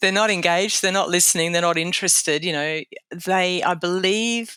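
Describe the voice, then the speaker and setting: At a fairly quick pace, a woman with an Australian accent speaks in a medium pitch, her intonation fairly even and her loudness very even. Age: 60s. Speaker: safety training consultant. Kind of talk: interview. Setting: podcast interview.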